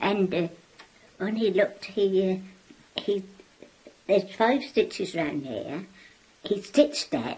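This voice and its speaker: A very slow delivery, dark and mellow in tone, somewhat breathy, with lively intonation and long, frequent pauses. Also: woman, medium pitch for a woman. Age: 80s+. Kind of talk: interview answer.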